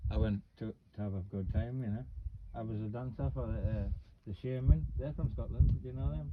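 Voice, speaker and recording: In a Geordie accent, a man talks at a fairly quick pace with a fairly low pitch and vocal fry. His pitch swings very widely, and his loudness shifts a lot. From northern England, Newcastle. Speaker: vlogger. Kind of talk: casual chat.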